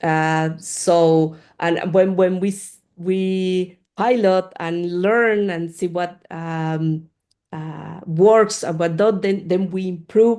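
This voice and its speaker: With a Spanish accent, a woman speaks at a very slow pace. Her voice is medium in pitch, with a dark, mellow tone. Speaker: community manager of open-source research software group. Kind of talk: Q&A after a talk. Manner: halting, many fillers and repeats.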